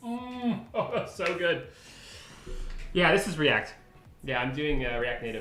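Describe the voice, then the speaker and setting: With music in the background and audible room echo, a man speaks at a high pitch and fairly slow pace in an animated tone, his pitch swinging very widely between long, frequent pauses. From Canada. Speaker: software developer live streamer. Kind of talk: live coding stream chat. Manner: casual, animated.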